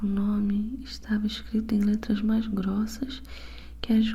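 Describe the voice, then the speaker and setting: A soft-spoken woman whispers her words at a very slow pace. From Brazil. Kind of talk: ASMR book reading, bedtime story. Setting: binaural ASMR recording. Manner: soft-spoken, whispering.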